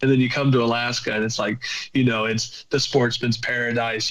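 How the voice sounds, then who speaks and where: In a Southern US accent, a man with a medium pitch talks at a fairly quick pace. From southern Virginia. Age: 20s. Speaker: hunter. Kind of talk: casual chat. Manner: halting.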